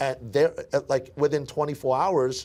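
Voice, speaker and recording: A man with an American accent talks at a very fast pace in a dark, mellow tone. The recording is very clean, with a silent background. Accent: Brooklyn accent, comes out at times. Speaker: sales team leader. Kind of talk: training interview. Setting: office event with audience. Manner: repetitive, stammering restarts.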